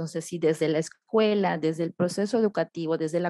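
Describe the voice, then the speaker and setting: In a Yucatán accent, a woman speaks at a fairly quick pace with a fairly low pitch, ordinary pitch variation and a dark, mellow tone, in a dry, close sound with no echo. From Yucatán, Mexico (Oxkutzcab). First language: Yucatec Maya (speaking Spanish). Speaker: poet and writer, educator. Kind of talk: interview. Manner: hesitant, many fillers.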